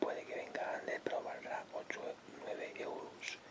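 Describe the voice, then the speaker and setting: Someone whispers at a moderate pace. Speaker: ASMR creator. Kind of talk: ASMR test recording, casual talk to camera. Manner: whispered. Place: home room. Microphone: phone near.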